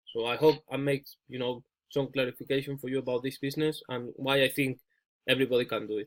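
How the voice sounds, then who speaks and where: A man of medium pitch talks at a very fast pace in a monotone, flat intonation, broken by long, frequent pauses. The sound is dry and close with no echo. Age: 30s. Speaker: ecommerce coach. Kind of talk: coaching call.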